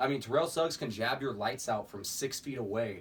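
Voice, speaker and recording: Very fast male speech with ordinary pitch variation. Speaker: sports podcast host. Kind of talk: casual sports talk show.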